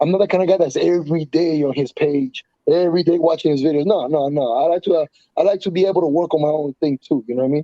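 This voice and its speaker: Talking very fast with a Spanish accent, a man has a fairly high pitch and a dark, mellow tone, recorded dry and close with no echo. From Colombia. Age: 30s. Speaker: professional MMA fighter. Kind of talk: casual interview. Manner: fast, halting with frequent repetitions and fillers.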